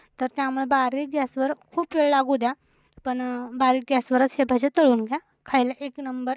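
A woman speaks with a high pitch. The recording sounds dry and close, with no echo. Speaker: home cooking vlogger. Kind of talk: voice-over narration for cooking vlog. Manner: casual, chatty.

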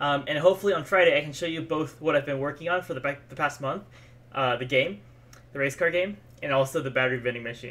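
The pace is very fast. Pitch variation is ordinary. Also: man. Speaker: livestreamer. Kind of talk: casual, chatty. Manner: fast talker. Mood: cheerful, a bit tired. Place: home room.

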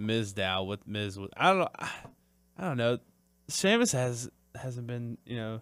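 On a very clean recording with a silent background, a man talks at a moderate pace and medium pitch, with lively intonation and long, frequent pauses. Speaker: wrestling podcast co-host. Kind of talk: casual chat. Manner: excitable.

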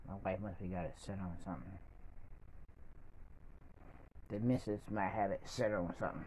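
A man speaks at a fairly low pitch, at a moderate pace. His pitch varies in an ordinary way over light background noise. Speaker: vlogger. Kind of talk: casual vlog chat. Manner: weak, low voice of a bedridden man. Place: home room. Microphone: phone near.

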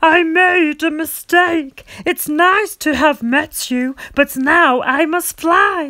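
A put-on character voice with a high pitch crawls along at a very slow pace, with hardly any pauses. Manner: spluttering, flustered.

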